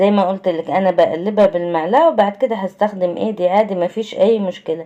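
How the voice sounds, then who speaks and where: A woman with an Egyptian accent, medium pitch, ordinary pitch variation and a moderate pace. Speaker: cooking channel host. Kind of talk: cooking tutorial. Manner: conversational.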